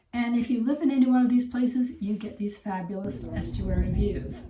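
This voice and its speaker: Audible room echo and noticeable background noise accompany a woman with an American accent and lively intonation. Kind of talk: casual vlog narration. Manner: animated.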